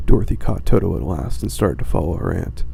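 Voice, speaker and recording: A man whispering over noticeable background noise. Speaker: ASMR storyteller. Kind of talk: bedtime story reading. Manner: whispered.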